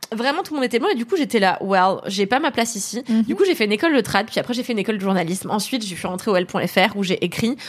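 A woman at a very fast pace, fairly high in pitch, with lively intonation. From France, Paris area (Levallois). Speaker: author and screenwriter. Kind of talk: casual chat. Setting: live stream.

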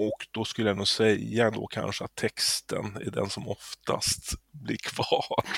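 A man talks at a very slow pace with hardly any pauses. The sound is dry and close, with no echo. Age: 50s. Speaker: musician. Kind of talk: interview.

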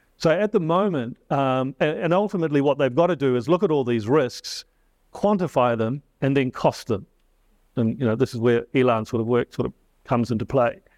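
A man with a New Zealand accent talks at a fairly quick pace, his pitch medium and his intonation lively. The sound is dry and close with no echo, over a quiet background. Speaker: climate risk adviser. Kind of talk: panel discussion. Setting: stage with audience.

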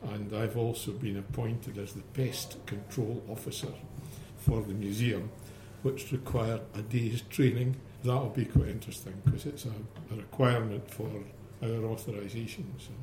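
Somewhat breathy and dark, mellow in tone, a man talks with fairly even intonation and big swings in loudness. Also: medium pitch for a man, moderate pace. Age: 70s. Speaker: museum volunteer. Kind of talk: interview.

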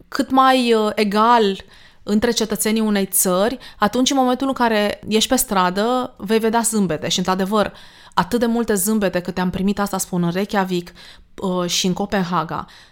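Medium-pitched female speech, an ordinary speaking voice at a moderate pace, with ordinary pitch variation. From Romania, Danube region. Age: 40s. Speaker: podcast host. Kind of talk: casual chat.

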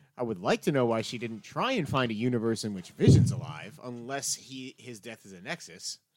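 A man with an unremarkable speaking voice talks at a fairly quick pace with hardly any pauses, using a medium pitch, ordinary pitch variation and big swings in loudness. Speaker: podcast co-host. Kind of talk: casual chat.

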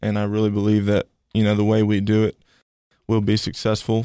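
With a Tennessee accent, a man speaks at a fairly quick pace and fairly low pitch, his tone dark and mellow, the sound dry and close with no echo. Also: very clean recording, silent background. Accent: US Southern (Tennessee). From Tennessee, Cookeville. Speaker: college football assistant coach. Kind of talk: interview.

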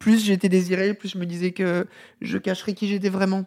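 Her voice sits at a medium pitch, with monotone, flat intonation and a fairly quick pace. The woman's recording is very clean, with a silent background and a dry, close sound with no echo. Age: 40s. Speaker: former film journalist. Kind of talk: interview. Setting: host's living room.

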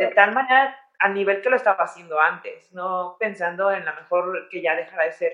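A woman speaks in a normal speaking voice at medium pitch and a fairly quick pace, with ordinary pitch variation. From Mexico, San Luis de la Paz, Guanajuato. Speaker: orthopedic surgeon and athlete. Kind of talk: interview.

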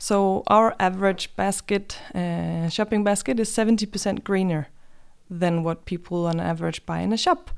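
In a Danish accent, a woman talks at a moderate pace on a very clean recording with a silent background. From Denmark. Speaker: online grocery company representative. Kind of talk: interview podcast. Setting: studio.

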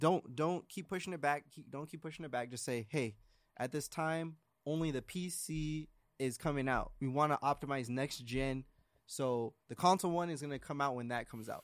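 This is a normal speaking voice from a man with a fairly high pitch. He moves at a moderate pace with ordinary pitch variation. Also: very clean recording, silent background. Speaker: gaming podcast co-host. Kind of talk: casual chat.

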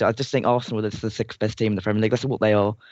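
Speech comes at a very fast pace in an English accent. The intonation stays monotone and flat. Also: man. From England. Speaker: football writer and fan panelist. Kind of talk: casual chat.

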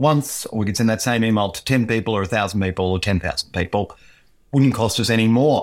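Heard in a very clean recording with a silent background, a man with an Australian accent speaks at a medium pitch with ordinary pitch variation. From Queensland, Australia. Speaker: technology lawyer. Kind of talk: interview.

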